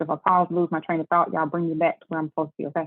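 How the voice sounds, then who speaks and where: This woman has a Southern US accent and a fairly low pitch. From Memphis, Tennessee (US South). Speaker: tax business owner. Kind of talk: webinar presentation. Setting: video call. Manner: fast.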